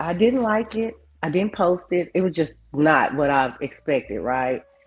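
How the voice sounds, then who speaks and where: A woman's fairly low voice with very wide pitch swings, moderate pace, music in the background. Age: 50s. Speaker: YouTuber and photographer. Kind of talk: interview.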